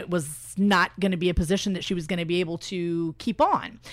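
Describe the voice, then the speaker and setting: A woman at medium pitch with an American accent and a plain, everyday voice, fairly even intonation and a fairly quick pace, on a very clean recording with a silent background. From Indiana, US Midwest. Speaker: club member and media saleswoman. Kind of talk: radio interview.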